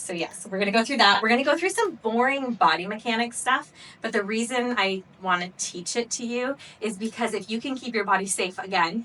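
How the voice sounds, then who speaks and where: Speaking in an American accent, a woman keeps a moderate pace with ordinary pitch variation. Noticeable background noise is present. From US Pacific Northwest, Seattle. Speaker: pelvic floor physical therapist. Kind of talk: workshop lecture. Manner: casual, conversational.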